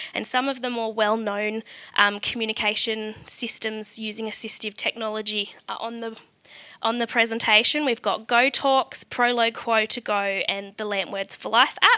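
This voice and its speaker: A woman speaks in an Australian accent with a fairly high pitch. Her tone is bright and sharp, her intonation monotone and flat. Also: moderate pace. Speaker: special education teacher presenting at event. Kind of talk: conference presentation.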